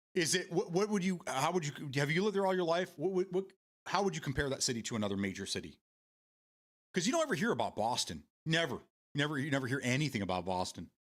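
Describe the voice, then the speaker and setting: In a Michigan accent, the voice moves at a very fast pace with vocal fry and very wide pitch swings. Long, frequent pauses break up the speech. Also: man, fairly high pitch for a man. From Michigan, US. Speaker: live streamer. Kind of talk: casual chat reading live chat. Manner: halting, many repeated words.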